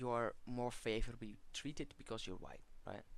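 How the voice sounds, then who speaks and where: This speaker talks at a moderate pace with a non-native accent. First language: not English. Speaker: video commentator. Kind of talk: monologue response video. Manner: halting, many fillers.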